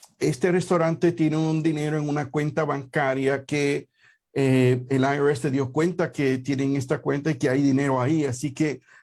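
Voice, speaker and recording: Fairly high for a man, this voice keeps fairly even intonation at a fairly slow pace. The recording is very clean, with a silent background. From Puerto Rico. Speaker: tax accountant and show host. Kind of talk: radio/live show talk. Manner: hesitant with many fillers.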